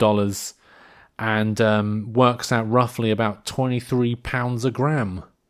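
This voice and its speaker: A man with a British accent, medium pitch and fairly even intonation, on a very clean recording with a silent background. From United Kingdom. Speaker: podcast host. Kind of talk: casual comedic podcast monologue. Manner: rambling, hesitant.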